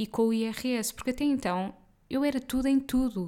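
A woman talks in a normal speaking voice at a moderate pace, her pitch fairly high with ordinary variation. The recording is very clean, the background silent. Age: 30s. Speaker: podcast host and nutritionist. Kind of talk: solo podcast monologue. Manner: casual. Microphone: good-quality USB mic.

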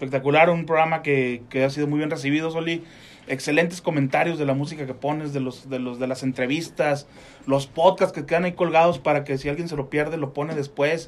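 Speaking at a fairly quick pace, a man uses an unremarkable speaking voice, fairly high in pitch and fairly even in intonation. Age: 40s. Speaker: radio co-host. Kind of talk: casual chat.

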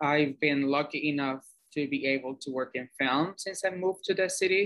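A man speaks with a fairly high pitch. His pace is moderate and his intonation fairly even. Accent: Spanish. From Cuba. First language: Spanish. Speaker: film producer. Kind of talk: interview.

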